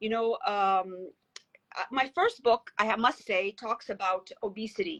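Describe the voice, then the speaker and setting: Speaking with an American accent, a woman talks at a fairly slow pace and fairly high pitch in a dry, close sound with no echo. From United States. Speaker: author and wellness founder. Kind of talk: conversational interview. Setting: live stream video call. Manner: halting with fillers.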